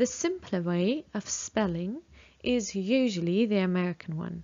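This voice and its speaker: A woman's lively intonation rises and falls as she speaks at a moderate pace. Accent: British. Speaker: English teacher. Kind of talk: lesson.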